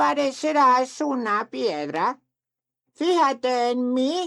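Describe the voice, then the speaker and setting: Someone talks at a very slow pace in a put-on character voice. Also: female-sounding voice, high pitch for a woman. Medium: read story. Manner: slow, deliberate, with a thoughtful "mm".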